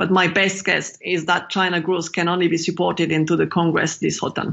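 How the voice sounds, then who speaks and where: In a French accent, a woman speaks fairly quickly in a fairly low voice, monotone and flat, with very even loudness. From France. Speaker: macro strategist. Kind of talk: interview.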